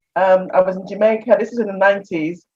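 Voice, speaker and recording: With a British accent, a woman speaks at a fairly quick pace. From England. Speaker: expat interviewee. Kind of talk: casual interview storytelling.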